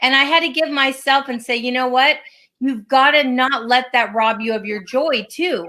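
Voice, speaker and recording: A woman projects her high-pitched voice loudly, bright and sharp in tone with ordinary pitch variation. The recording is very clean, with a silent background. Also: moderate pace. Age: 60s. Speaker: podcast co-host, flow coach. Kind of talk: casual chat.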